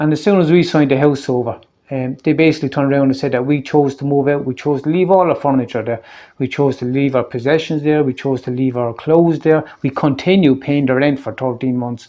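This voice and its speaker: A man in a Waterford Irish accent, fairly high in pitch, very fast, with fairly even intonation. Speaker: local activist vlogger. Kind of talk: personal video update.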